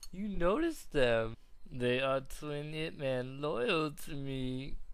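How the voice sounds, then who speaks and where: A raspy, put-on character voice moves along at a fairly slow pace. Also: man. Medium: dub.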